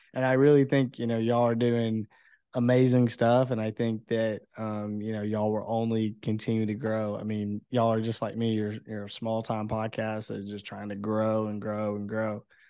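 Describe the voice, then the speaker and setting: At a moderate pace and with hardly any pauses, a man speaks in a fairly low pitch. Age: 20s. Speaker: podcast host. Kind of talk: casual interview chat. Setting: video call. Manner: animated.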